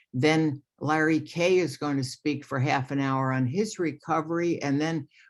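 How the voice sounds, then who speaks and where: Speaking in an American accent, a woman uses very deep, low pitch with fairly even intonation. Her pace is fairly slow, against a quiet background. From New York, Long Island. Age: 70s. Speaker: retired lawyer sharing recovery story. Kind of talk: recovery testimony at online meeting. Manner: hesitant, many fillers.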